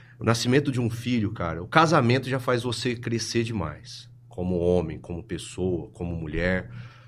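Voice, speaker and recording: A man at a moderate pace with hardly any pauses, amid audible room echo. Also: medium pitch for a man, lively intonation. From Brazil, Ribeirão Preto (São Paulo state). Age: 30s. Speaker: clinical psychologist. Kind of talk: casual chat.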